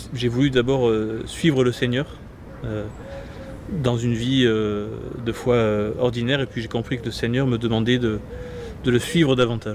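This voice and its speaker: At a moderate pace, a man speaks in a monotone, flat intonation with long, frequent pauses amid noticeable background noise. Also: medium pitch for a man. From southern France, Gard. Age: 20s. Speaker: priest-to-be, seminarian. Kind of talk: interview. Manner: halting, many hesitations.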